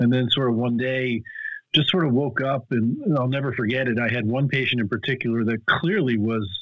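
A man at a fairly quick pace with fairly even intonation, dry sound with no echo and a quiet background. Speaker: guest. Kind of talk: interview answer. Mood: reflective storytelling. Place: home room. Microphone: video call.

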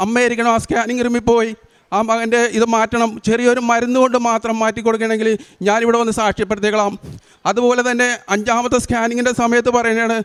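Loudness stays very even and the intonation is monotone and flat. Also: man, extremely high pitch for a man. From Kerala, Kochi area. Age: 50s. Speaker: pilgrim giving faith testimony. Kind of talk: testimony.

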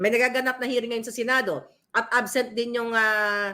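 The pitch varies in an ordinary way. The tone is bright and sharp. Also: woman. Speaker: political vlogger / commentator. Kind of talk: angry rant. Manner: loud, furious, insulting tirade aimed at named politicians; urgent, emphatic, addressing listeners directly.

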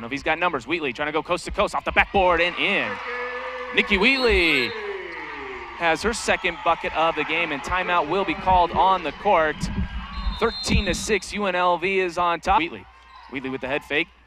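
Noticeable background noise sits under speech at a moderate pace, with ordinary pitch variation and long, frequent pauses. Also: man, high pitch for a man. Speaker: basketball play-by-play announcer. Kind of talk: live sports commentary, play-by-play. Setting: arena broadcast in Las Vegas.

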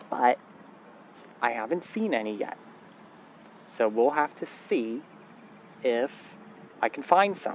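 A man at a very slow pace with lively intonation, dry sound with no echo and light background noise. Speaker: hiker vlogger. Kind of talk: casual vlog chat. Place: open country. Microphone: phone near.

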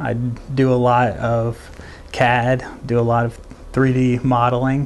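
A man's voice with monotone, flat intonation. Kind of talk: interview answer. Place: meeting room. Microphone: lapel.

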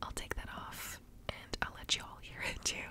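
Someone whispers in a gentle tone over noticeable background noise. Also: woman. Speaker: ASMR creator. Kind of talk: soft-spoken ASMR chat. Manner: gentle whisper while handling mic. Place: home room. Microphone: studio mic.

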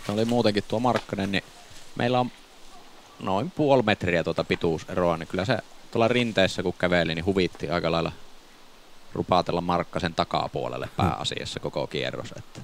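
Vocal fry runs through this man's very deep, low voice. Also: moderate pace. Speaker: disc golf commentator and player.

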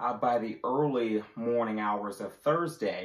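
Audible room echo surrounds the speech, which moves at a moderate pace. The background is quiet. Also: man. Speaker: presenter. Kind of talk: weather forecast. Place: home room. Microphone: camera far.

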